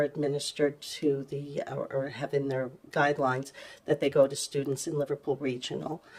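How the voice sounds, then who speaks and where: A soft-spoken woman talks at a moderate pace in a very deep, low pitch with monotone, flat intonation. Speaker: municipal clerk and communications officer. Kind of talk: council meeting report. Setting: council chamber, in person. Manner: halting, many fillers.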